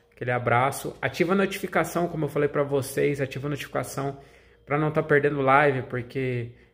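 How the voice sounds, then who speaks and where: A man speaks at a moderate pace with a fairly high, somewhat breathy voice. His intonation stays fairly even against a quiet background. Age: 30s. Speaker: gaming YouTuber. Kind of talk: casual vlog talk to viewers. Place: home room. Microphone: phone near.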